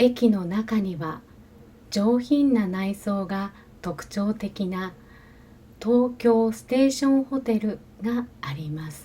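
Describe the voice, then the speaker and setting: This woman speaks at a very slow pace in a fairly high pitch. Her intonation is lively, and her loudness swings widely. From Japan. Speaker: Japanese language teacher. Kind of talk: language-learning narration. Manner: slow, careful.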